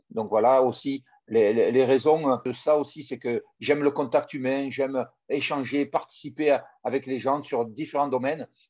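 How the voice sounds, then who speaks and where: Fairly high in pitch, a man talks at a moderate pace. His intonation stays fairly even. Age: 50s. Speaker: former rugby player turned business coach. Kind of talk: interview. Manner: halting, with many repeated words.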